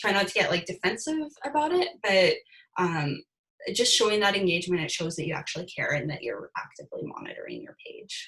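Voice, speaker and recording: A woman's pitch swings very widely. She talks at a moderate pace. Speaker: guest presenter on social media. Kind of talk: webinar presentation.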